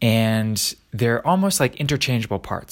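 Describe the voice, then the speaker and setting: This very clean recording has a silent background. A man at a medium pitch talks at a moderate pace with lively intonation. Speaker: daily vlogger posing a question. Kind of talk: casual solo monologue. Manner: hesitant, with fillers and repetitions.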